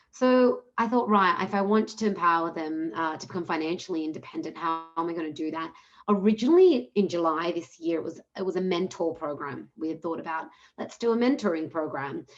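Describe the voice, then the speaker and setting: With an Australian accent, a woman speaks at a fairly quick pace and a fairly low pitch, with lively intonation. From Australia, Melbourne. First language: Punjabi. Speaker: social entrepreneur. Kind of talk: webinar panel talk.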